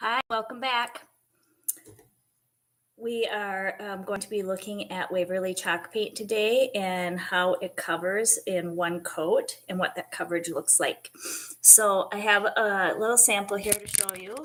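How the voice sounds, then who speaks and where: A woman speaks at a fairly slow pace in a calm tone. Her intonation stays fairly even. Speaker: furniture painter; craft paint reviewer. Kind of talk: instructional talk to camera. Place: kitchen.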